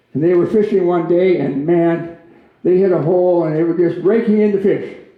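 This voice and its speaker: With an Upper Midwest accent, a man speaks high in pitch at a fairly quick pace, his intonation fairly even amid audible room echo. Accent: Upper Midwest American. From Minnesota. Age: 80s+. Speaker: guest speaker. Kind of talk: public talk with jokes. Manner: hesitant, many fillers.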